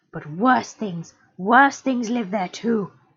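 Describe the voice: With ordinary pitch variation, the text is given as plain reading aloud.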